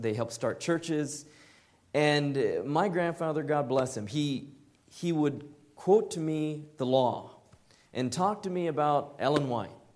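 In a room with audible echo, a man speaks fairly slowly at a fairly high pitch that varies an ordinary amount. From Southern California. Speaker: lay preacher. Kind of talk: sermon.

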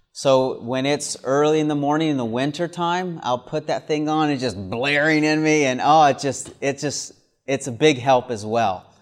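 In an American accent, a man with a fairly high pitch talks at a moderate pace with hardly any pauses, in an ordinary speaking voice. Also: ordinary pitch variation, quiet background. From US South. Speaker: preacher. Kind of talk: sermon at a camp meeting. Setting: camp meeting with audience.

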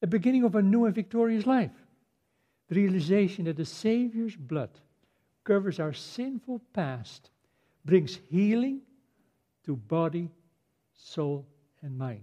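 A man with a Dutch accent speaks at a fairly slow pace in a high voice with a dark, mellow tone, his pitch swinging very widely between long, frequent pauses. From Netherlands. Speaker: preacher. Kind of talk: sermon.

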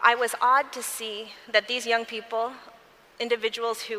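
A woman talks with an American accent. Background noise is clearly audible. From US Midwest, Michigan. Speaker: lawyer and convention speaker. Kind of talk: testimony.

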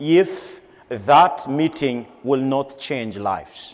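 Against noticeable background noise, a man speaks at medium pitch with lively intonation. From Madagascar. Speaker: church leader. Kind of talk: sermon. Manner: halting, with frequent fillers.

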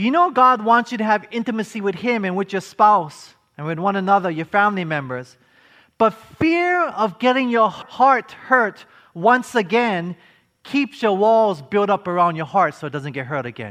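Bright and sharp in tone, a man with a high pitch speaks at a moderate pace with lively intonation. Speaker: preacher. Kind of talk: sermon to a live congregation, with call-and-response. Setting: church or conference hall with audience. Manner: earnest, preacherly, rallying the audience to answer 'amen'; rhetorical questions, emphatic, building momentum.

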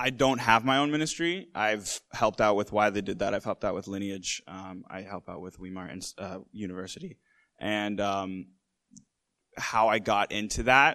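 A man with an American accent speaks in a normal speaking voice at fairly low pitch. He keeps a moderate pace and ordinary pitch variation against a quiet background. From Massachusetts, US. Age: 20s. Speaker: filmmaker. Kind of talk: panel discussion. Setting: conference stage with audience.

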